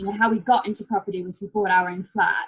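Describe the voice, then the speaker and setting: A woman with an Australian accent, medium in pitch and fairly even in intonation. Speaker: property investor and designer. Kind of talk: casual interview. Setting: video call.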